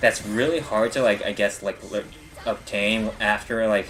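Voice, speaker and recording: Over music in the background, a man with an American accent talks at a fairly slow pace and a medium pitch, with ordinary pitch variation. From United States, Japanese parents. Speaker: gaming streamer. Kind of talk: casual chat while gaming livestream. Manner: halting, many fillers and restarts.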